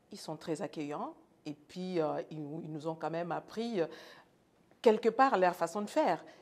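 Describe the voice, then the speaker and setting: In a very clean recording with a silent background, a woman talks at a moderate pace in a normal speaking voice, fairly low in pitch, with ordinary pitch variation. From France (Congolese roots). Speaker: nurse. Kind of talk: interview.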